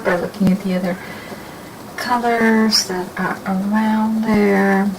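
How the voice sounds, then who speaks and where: Medium pitch from a woman, noticeable background noise behind her. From desert region. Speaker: painting instructor. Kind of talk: tutorial. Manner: casual, with many fillers.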